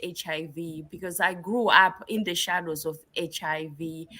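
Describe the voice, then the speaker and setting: A bright, sharp tone in a Southern African accent. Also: woman. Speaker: nurse practitioner and researcher. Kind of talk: interview. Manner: halting, many fillers.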